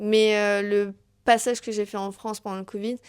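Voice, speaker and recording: A woman's fairly high voice at a moderate pace, on a very clean recording with a silent background. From Tahiti, Cuba and New York. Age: 20s. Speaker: podcast host. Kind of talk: solo podcast self-introduction. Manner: hesitant, many fillers.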